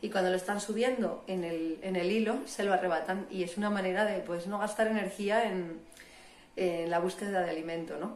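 A woman with a northern Spanish accent speaks at a medium pitch and moderate pace with fairly even intonation. Audible room echo and noticeable background noise surround her voice. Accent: northern Peninsular Spanish. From northern Spain, Asturias. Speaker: biologist and professional diver. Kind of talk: interview, explanatory.

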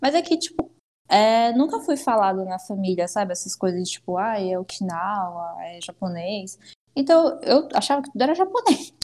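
A woman speaks at a moderate pace with a fairly high pitch. Her pitch swings very widely and her loudness rises and falls sharply. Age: 20s. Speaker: hairdresser. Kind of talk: interview. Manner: casual, filler-heavy.

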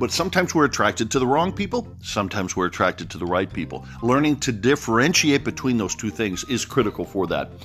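This medium-pitched male voice has vocal fry and very wide pitch swings. He talks very fast with hardly any pauses. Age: 60s. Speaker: podcast host. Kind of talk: motivational monologue. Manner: energetic.

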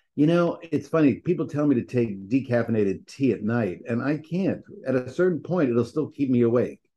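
Lively intonation marks this man's unremarkable speaking voice, which has a medium pitch, an American accent, and a fairly quick pace. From New York. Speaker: podcast co-host. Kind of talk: casual chat. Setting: remote call. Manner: upbeat.

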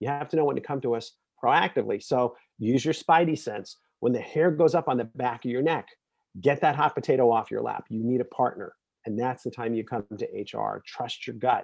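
Against a quiet background, a man with an unremarkable speaking voice and an American accent talks fairly quickly at medium pitch with ordinary pitch variation. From Brooklyn, New York. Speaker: HR executive and author. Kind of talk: interview.

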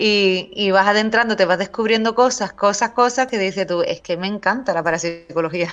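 A woman talks at a moderate pace with hardly any pauses, in a plain, everyday voice. Her pitch is medium, with ordinary variation. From Cádiz, Andalusia, Spain. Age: 40s. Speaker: writer and paranormal researcher. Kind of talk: casual interview.

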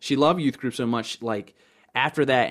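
A man with an American accent speaks in a normal speaking voice at a medium pitch. His intonation is fairly even, and the recording is very clean with a silent background. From Baltimore County, Maryland. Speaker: urban youth pastor. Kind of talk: casual chat.

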